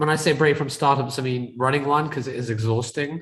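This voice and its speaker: Somewhat breathy, a man with a British accent talks at a moderate pace with fairly even intonation. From UK. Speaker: tech entrepreneur and real estate investor. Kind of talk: podcast interview.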